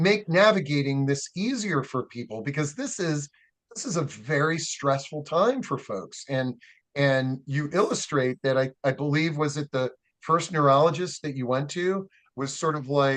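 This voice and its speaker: Using a normal speaking voice, a man talks at a moderate pace in a fairly high pitch with ordinary pitch variation. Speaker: interview host. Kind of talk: interview questions.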